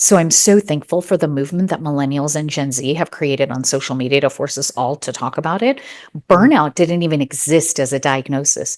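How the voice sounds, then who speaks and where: In a very clean recording with a silent background, a woman speaks at a fairly quick pace with a very deep, low pitch. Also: ordinary pitch variation. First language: not English (English is third language). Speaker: neurologist and wellness expert. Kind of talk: interview testimony.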